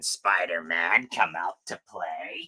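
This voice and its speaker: At a fairly slow pace, the speaker performs in a put-on character voice. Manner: menacing.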